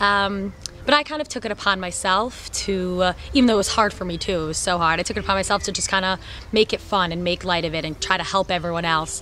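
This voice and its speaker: Through noticeable background noise, a woman with a New York accent talks at a very fast pace in a medium pitch with ordinary pitch variation. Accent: New York American. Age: 20s. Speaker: soldier, shooting instructor. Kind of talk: personal testimony interview.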